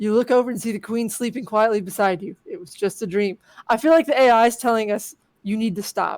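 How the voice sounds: It is a natural reading voice against a quiet background.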